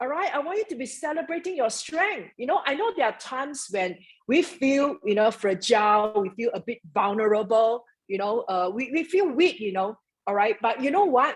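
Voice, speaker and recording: Loud and animated, a woman speaks in a high voice with very wide pitch swings. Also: moderate pace. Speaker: network marketing mentor. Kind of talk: motivational talk.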